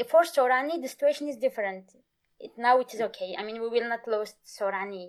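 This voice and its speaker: Racing at a very fast pace, a woman with a Turkish accent speaks at a fairly high pitch with ordinary pitch variation and big swings in loudness. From Turkey. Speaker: Kurdish language teacher. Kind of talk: interview. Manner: halting.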